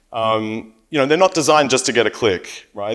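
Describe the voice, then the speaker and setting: This man speaks with an Australian accent at a fairly quick pace. The recording is very clean, with a silent background. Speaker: company CEO and panel moderator. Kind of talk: conference panel talk. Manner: repeats words, frequent fillers.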